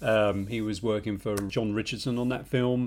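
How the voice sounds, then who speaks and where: A man's medium-pitched voice with a London accent. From England, North London. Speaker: podcast co-host, film industry worker. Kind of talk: casual chat.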